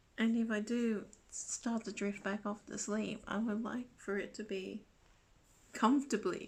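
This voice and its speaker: Speaking at a very slow pace with long, frequent pauses, a woman's fairly high, somewhat breathy voice stays monotone and flat. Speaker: vlogger. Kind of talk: casual chat.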